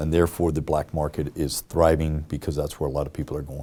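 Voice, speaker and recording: On a very clean recording with a silent background, a man speaks with a very deep, low pitch and a dark, mellow tone. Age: 60s. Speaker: mayoral candidate, former police chief. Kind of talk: interview. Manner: hesitant, many fillers.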